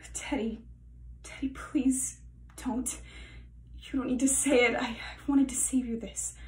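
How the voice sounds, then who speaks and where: Audible room echo around a woman's voice, at a moderate pace. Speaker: actor doing an audition self-tape. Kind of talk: acted dramatic monologue. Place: home room. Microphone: phone near.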